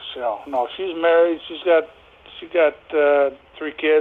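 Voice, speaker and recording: A man with a fairly high pitch speaks at a moderate pace. Noticeable background noise can be heard. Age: 60s. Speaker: prank call target selling a lawnmower. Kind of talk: phone call.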